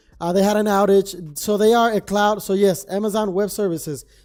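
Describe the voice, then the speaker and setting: There is noticeable background noise behind a man's high-pitched voice. His intonation stays fairly even. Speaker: trading streamer. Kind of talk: live stream commentary. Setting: live stream. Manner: casual, rambling with fillers.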